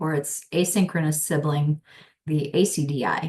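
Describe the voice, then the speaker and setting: A woman's somewhat breathy voice sits at a very deep, low pitch with monotone, flat intonation. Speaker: instructional designer. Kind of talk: webinar presentation.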